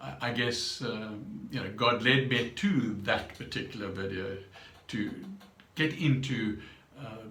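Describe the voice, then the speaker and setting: A man speaks at a fairly slow pace with ordinary pitch variation. Audible room echo and noticeable background noise are present. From South Africa. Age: 70s. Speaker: vlogger. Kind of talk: personal vlog monologue. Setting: home meditation room. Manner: halting, many fillers.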